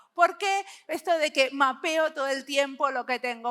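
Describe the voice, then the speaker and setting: A woman's raised, projected voice, high in pitch, at a fairly slow pace. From Argentina, Buenos Aires. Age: 50s. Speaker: service designer and researcher, conference speaker. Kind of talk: conference talk. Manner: intense.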